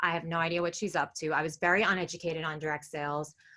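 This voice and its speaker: The voice has a bright, sharp tone with a New York accent. The background is quiet. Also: woman. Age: 20s. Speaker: direct sales seller. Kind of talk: business presentation. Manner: casual, filler-heavy.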